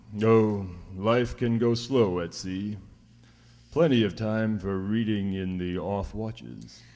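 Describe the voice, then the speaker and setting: In a gruff, put-on character voice, a man speaks at a fairly slow pace with a fairly low pitch. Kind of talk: 1940s radio acting. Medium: old radio play. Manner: gruff, blunt, salty sea language.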